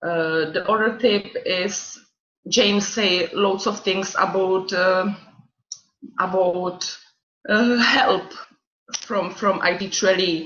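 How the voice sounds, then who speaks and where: Her voice is medium-pitched with fairly even intonation. This woman speaks very slowly, with long, frequent pauses. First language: not English. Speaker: student mentor. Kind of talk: orientation talk. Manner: halting.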